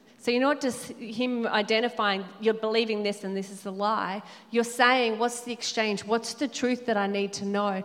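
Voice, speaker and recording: Against noticeable background noise, a woman with a fairly high pitch speaks at a moderate pace in a monotone, flat intonation, with hardly any pauses. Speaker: panelist. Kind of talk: panel Q&A at church event.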